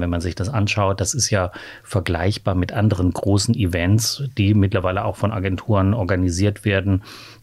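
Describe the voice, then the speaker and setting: Somewhat breathy and fairly low in pitch, a man speaks at a moderate pace with fairly even intonation, in a very clean recording with a silent background. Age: 50s. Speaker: LGBT rights activist, association chair. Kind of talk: podcast interview.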